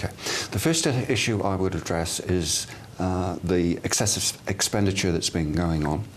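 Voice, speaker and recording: A man's very deep, low voice with a slight English accent, fairly even intonation and very even loudness, over noticeable background noise. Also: moderate pace. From England, Bath. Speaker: mayoral candidate. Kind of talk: TV interview.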